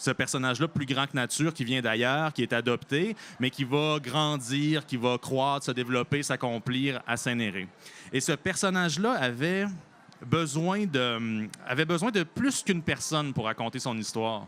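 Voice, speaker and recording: This man has an unremarkable speaking voice, fairly high in pitch, with lively intonation and a fairly slow pace. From Quebec, Bellechasse (south shore). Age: 30s. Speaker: novelist. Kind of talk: interview.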